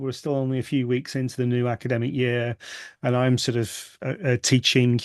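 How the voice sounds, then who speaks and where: Here a man at medium pitch speaks at a fairly quick pace. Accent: British. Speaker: university lecturer. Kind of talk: video meeting introductions.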